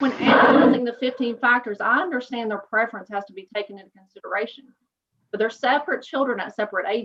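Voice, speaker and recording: A woman's fairly high voice in an East Tennessee accent. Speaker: attorney. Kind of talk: oral argument. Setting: video call. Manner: formal.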